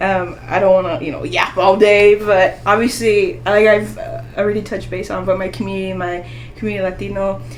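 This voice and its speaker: Over noticeable background noise and audible room echo, a woman speaks at a fairly quick pace with big swings in loudness. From US, Mexican-American family. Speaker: aspiring doctor. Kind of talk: casual interview chat.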